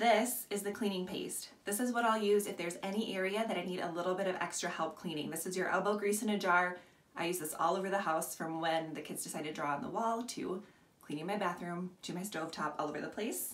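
Here a woman talks at a very fast pace. Her pitch varies in an ordinary way. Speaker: product seller. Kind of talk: tutorial. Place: bathroom. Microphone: phone near.

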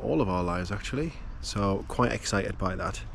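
The man's voice has a dry sound with no echo, set against light background noise. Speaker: sailing vlogger. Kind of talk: casual vlog chat. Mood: relaxed, mildly excited. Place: boat. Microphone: phone near.

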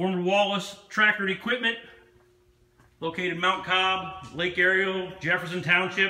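A man with an American accent projects a raised, high-pitched voice at a fairly slow pace, with long, frequent pauses and audible room echo. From Pennsylvania, USA. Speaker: auctioneer. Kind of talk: auction promotional announcement to camera. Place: shop. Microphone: phone near.

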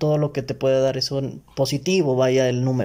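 A man with a Mexican accent, his tone dark and mellow, at a fairly quick pace. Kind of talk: casual chat.

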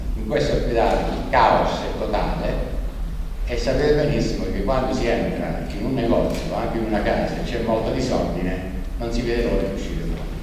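Speech at a fairly quick pace carries strong room echo and light background noise. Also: man. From not native to Abruzzo. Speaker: regional association president opening a political conference. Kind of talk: conference speech. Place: hall. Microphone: podium.

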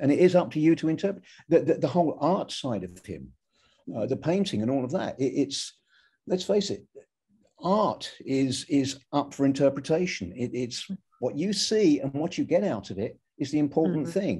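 A man with an English accent speaks in a dark, mellow tone with vocal fry. The background is quiet. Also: fairly high pitch for a man, lively intonation, moderate pace. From England. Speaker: record producer; guest. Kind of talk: casual chat. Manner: halting. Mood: relaxed reminiscing. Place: home room. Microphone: video call.

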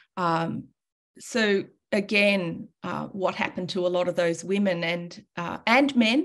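Speaking at a fairly slow pace with ordinary pitch variation, a woman with an Australian accent is heard over a quiet background. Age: 60s. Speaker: calligrapher and teacher; teacher. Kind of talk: presentation. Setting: video call. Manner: animated. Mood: warm, informal, humorous. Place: home room. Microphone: webcam.

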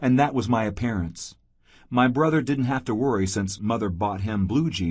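This clip has someone reading aloud in a natural voice.

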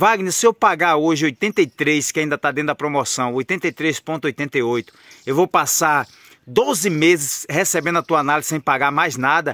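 In a dry sound with no echo and a quiet background, a man with a fairly high pitch and a bright, sharp tone talks at a fairly slow pace with ordinary pitch variation. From Brazil. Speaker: trading analyst and course seller. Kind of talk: sales pitch. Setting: outdoors on a farm, under a tree. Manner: persuasive, urgent, chatty pitchman; folksy and friendly, deadline-driven. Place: garden. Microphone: phone near.

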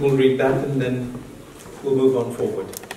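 A man is speaking in a space with audible room echo. Light background noise is also present. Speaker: preacher. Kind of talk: sermon. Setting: church with congregation. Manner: animated, call-and-response preaching with an interpreter; code-switches between English, Hindi and Punjabi. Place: church.

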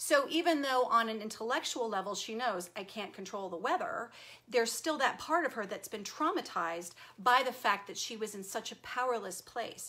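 A woman with an American accent speaks at a moderate pace in a warm tone, her intonation lively and her loudness swinging widely. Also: fairly high pitch for a woman. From Texas. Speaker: self-help video host. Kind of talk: live-stream talk to viewers. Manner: warm, conversational. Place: home room. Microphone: webcam.

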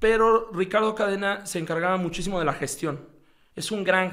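A man talks fairly quickly, and the background is quiet. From Mexico. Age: 30s. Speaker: football coach; football coach guest. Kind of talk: casual interview. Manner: halting, frequent repetitions. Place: studio. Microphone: studio mic.

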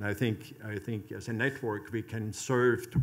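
Talking at a fairly slow pace, a man with a normal speaking voice keeps a fairly low pitch and fairly even intonation. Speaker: conference moderator. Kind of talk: panel discussion. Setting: stage with audience. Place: hall. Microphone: podium.

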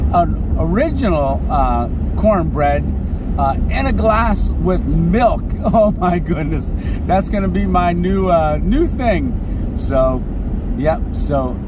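Very slow speech, dry with no echo, under noticeable background noise. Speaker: traveling vlogger driving. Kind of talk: casual vlog chat. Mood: cheerful, grateful. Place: car. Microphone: phone near.

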